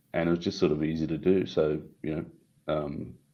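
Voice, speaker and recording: He speaks with an Australian accent. The man's voice is very deep and low in pitch. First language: Italian. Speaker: tech company CEO. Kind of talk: interview.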